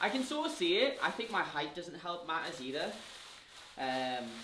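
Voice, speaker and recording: At a moderate pace, a man speaks with a Geordie accent. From northern England, Newcastle. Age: 20s. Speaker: fitness influencer. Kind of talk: casual Q&A vlog. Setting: home kitchen. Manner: chatty, filler-heavy.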